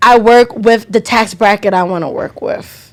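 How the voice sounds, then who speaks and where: Loud and fairly high-pitched, a woman speaks. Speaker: podcast co-host and nail tech. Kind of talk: casual chat.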